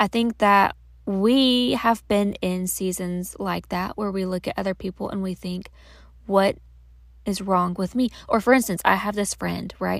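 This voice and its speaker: A woman with a normal speaking voice at a fairly slow pace, medium pitch and fairly even intonation, on a very clean recording with a silent background. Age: 30s. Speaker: podcast host. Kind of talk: casual monologue. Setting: in a closet at home. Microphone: recording in closet for better audio.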